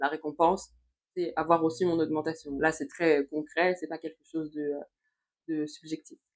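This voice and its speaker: Fairly low pitch from a woman, in a monotone, flat intonation. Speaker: youtuber, personal development coach. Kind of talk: motivational vlog monologue. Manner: hesitant, many fillers.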